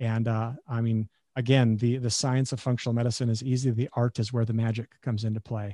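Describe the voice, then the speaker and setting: A man with an Upper Midwest accent speaks in a medium pitch with a dark, mellow tone and monotone, flat intonation, the sound dry and close with no echo. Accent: Upper Midwest American. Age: 40s. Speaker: chiropractor and functional medicine doctor. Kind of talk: casual interview chat.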